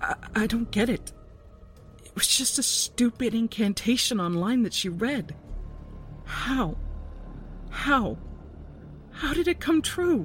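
Over faint background music, a man puts on a character voice at an extremely high pitch, going at a slow pace with lively intonation and long, frequent pauses. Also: fairly bright tone.

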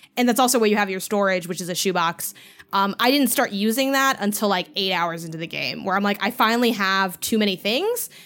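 In an ordinary speaking voice, a woman with an American accent talks at a medium pitch, recorded very cleanly against a silent background. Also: ordinary pitch variation, fairly quick pace. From Chicago, US Midwest. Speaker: game critic and podcaster. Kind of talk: casual chat.

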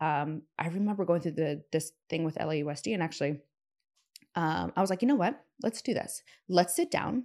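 The speaker has a normal speaking voice with an American accent and lively intonation at a fairly quick pace. The recording is very clean, with a silent background. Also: woman, fairly low pitch for a woman. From US Pacific Northwest, Seattle. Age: 30s. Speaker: entrepreneur and investor. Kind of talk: casual chat.

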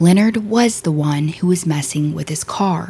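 A plain, everyday voice from a woman, fairly low in pitch, with ordinary pitch variation. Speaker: true crime podcast host. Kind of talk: dramatic true-crime narration. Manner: grave, solemn, measured storytelling delivery.

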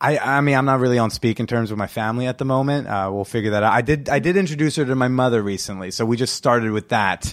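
A man at medium pitch with ordinary pitch variation, talking very fast with hardly any pauses, in a very clean recording with a silent background. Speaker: comedian and podcast host. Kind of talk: casual chat. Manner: laid-back, jokey.

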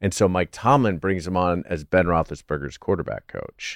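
A man with a very deep, low pitch and vocal fry, in a very clean recording with a silent background and a dry, close sound with no echo. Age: 40s. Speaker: comedian and Steelers fan guest. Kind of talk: casual chat.

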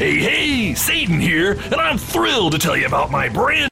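At a moderate pace, a man speaks in a put-on character voice with a high pitch. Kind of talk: humorous, over-the-top. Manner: playful, cheery salesman.

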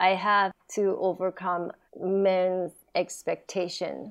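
In a Japanese accent, a woman speaks at a very slow pace. Her pitch is medium. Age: 40s. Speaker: stand-up comedian. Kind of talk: casual chat. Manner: giggly, laughs often.

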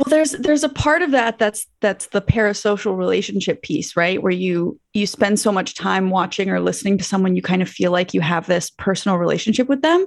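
A woman speaks in a Canadian accent at medium pitch and a fairly quick pace, with hardly any pauses. It is an ordinary speaking voice, and her intonation is lively. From Manitoba, Canada. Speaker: YouTuber and content creator. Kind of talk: casual interview chat. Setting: video call.

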